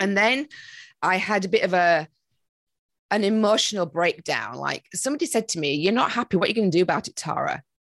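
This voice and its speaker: It's an unremarkable speaking voice from a woman of medium pitch, moving at a fairly quick pace. The sound is dry and close, with no echo. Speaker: meditation and manifestation coach. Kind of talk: podcast interview.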